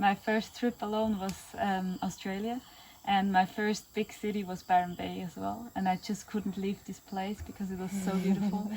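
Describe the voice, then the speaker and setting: A woman speaks with a German accent in a monotone, flat intonation. Noticeable background noise is present. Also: medium pitch for a woman, moderate pace. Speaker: podcast host. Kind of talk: casual interview chat. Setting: outdoors in the Amazon jungle.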